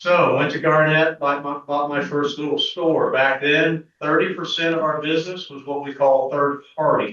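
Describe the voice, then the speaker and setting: With a Midwestern US accent, a man speaks at a fairly high pitch. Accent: US Midwest. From Kansas. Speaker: pharmacy business owner. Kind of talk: presentation to an audience. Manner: loud.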